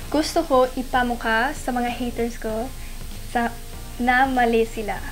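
The speaker has a non-native accent and fairly even intonation. Faint music plays in the background. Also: woman. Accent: non-native Tagalog. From half Filipino. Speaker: model. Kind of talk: casual Q&A talk to camera. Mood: playful, animated. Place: home room.

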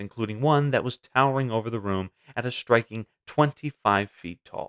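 Dry and close with no echo, a man's plain, everyday voice sits at medium pitch with fairly even intonation. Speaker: video narrator. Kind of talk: history documentary narration. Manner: measured, storytelling; formal, clear.

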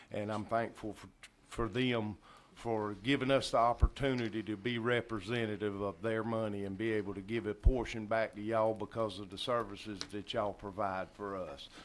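A man with a Southern US accent talks at a fairly low pitch, his intonation fairly even. His loudness swings widely. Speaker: county commission chair. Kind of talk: public meeting remarks. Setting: county commission meeting room. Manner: slow.

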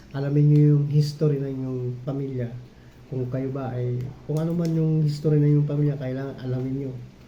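In a room with audible echo, a man speaks fairly quickly at a fairly high pitch with monotone, flat intonation. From Bicol region, Philippines. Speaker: YouTube vlogger. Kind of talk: personal vlog monologue. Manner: halting, many fillers.

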